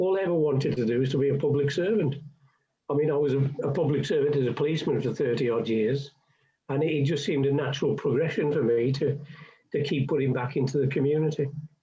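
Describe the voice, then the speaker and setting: Delivered at a very fast pace, the voice is somewhat breathy with fairly even intonation, and room echo is audible. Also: man. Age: 70s. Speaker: retiring councillor. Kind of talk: radio interview.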